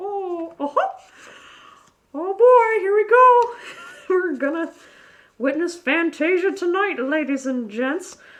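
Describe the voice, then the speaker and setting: A put-on character voice with a cheerful tone sits at an extremely high pitch. Long pauses come often. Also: fairly slow pace. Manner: cheerful, exclaiming.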